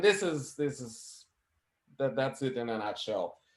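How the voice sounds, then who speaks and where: Speaking at a moderate pace, a man with a fairly high voice uses lively intonation. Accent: non-native. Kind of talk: casual chat. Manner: halting.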